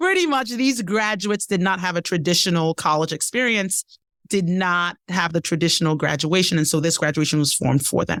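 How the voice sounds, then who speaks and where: In a Nigerian accent, a woman talks at a fairly quick pace with a fairly low pitch and ordinary pitch variation, on a very clean recording with a silent background. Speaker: leadership development expert and keynote speaker. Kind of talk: podcast interview answer.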